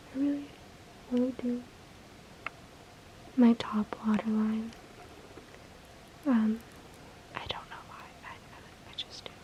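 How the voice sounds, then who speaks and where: With long, frequent pauses, a fairly slow whisper comes through noticeable background noise. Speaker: ASMR creator. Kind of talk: ASMR personal attention makeup role play. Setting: home recording, built-in mic. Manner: soft-spoken.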